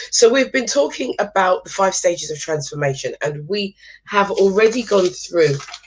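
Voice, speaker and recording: Her voice carries a slight breathiness. This woman talks at an even, middling speed with a mid-range pitch. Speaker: motivational speaker. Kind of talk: live stream talk. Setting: live stream.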